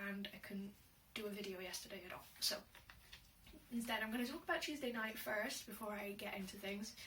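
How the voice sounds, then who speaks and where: A woman talks in an Inverness-shire accent at a fairly quick pace with ordinary pitch variation. Audible room echo and noticeable background noise are present. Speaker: vlogger and aspiring writer. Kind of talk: casual vlog monologue. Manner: hesitant, many fillers.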